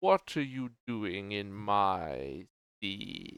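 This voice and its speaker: A man's put-on character voice at a fairly low pitch. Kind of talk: fantasy villain voice. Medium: actual play. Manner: condescending, menacing.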